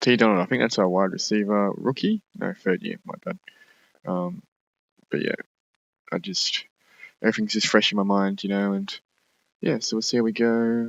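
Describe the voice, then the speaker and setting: With an Australian accent, a man talks in a fairly low pitch, using ordinary pitch variation and long, frequent pauses. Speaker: gaming YouTuber. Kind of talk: gameplay commentary. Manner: fast; casual, halting with fillers.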